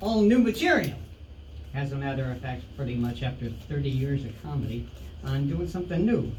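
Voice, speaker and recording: A man talks at a moderate pace while audible room echo and noticeable background noise surround his voice. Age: 60s. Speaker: stand-up comedian. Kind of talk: stand-up. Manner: halting.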